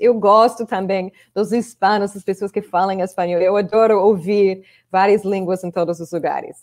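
A fairly slow American accent in a dry, close sound with no echo. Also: woman. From Chicago, US. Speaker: English teacher and video creator. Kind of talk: casual interview. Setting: online live video call.

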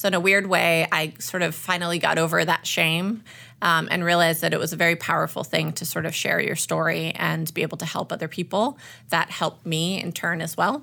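A woman's fairly low voice carries vocal fry and a bright, sharp tone on a very clean recording with a silent background. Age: 30s. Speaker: cancer survivor. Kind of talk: interview. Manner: hesitant, many filler words.

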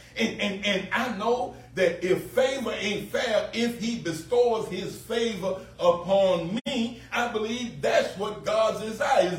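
Over noticeable background noise, someone with an American accent speaks very slowly with ordinary pitch variation. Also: man. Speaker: pastor. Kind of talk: sermon. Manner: earnest pulpit delivery, repeating phrases for emphasis.

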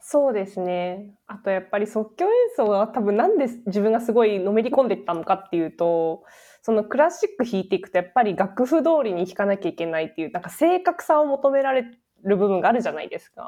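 In a quiet setting, a woman with a dark, mellow tone speaks at a fairly quick pace and a fairly high pitch. Her pitch swings very widely and her loudness swings a lot. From Japan. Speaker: podcast co-host, tech company worker. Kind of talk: casual chat.

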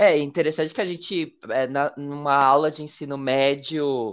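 Against a quiet background, a man with a fairly high pitch speaks in an ordinary speaking voice at a fairly slow pace. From Brazil, Paraná river border with Mato Grosso do Sul. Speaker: podcast host. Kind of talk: interview.

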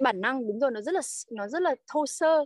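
A very clean recording with a silent background and a dry, close sound with no echo carries lively intonation at a fairly quick pace. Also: woman. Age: 30s. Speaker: working mother of three. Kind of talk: podcast interview.

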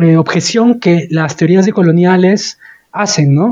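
Very slow delivery with ordinary pitch variation. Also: man. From Peru. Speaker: human rights lawyer. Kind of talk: interview conversation.

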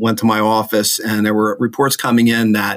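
A man with an American accent speaks in a fairly low pitch at a fairly quick pace. His intonation is monotone and flat. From northern New Jersey. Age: 50s. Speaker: lawyer. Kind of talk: casual interview.

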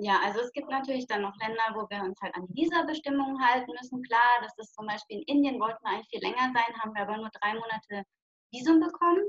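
Talking very fast, a woman with a fairly high pitch shows big swings in loudness and ordinary pitch variation. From southwest Germany, Lörrach. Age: 20s. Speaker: long-term hitchhiking traveller. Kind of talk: interview. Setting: video call.

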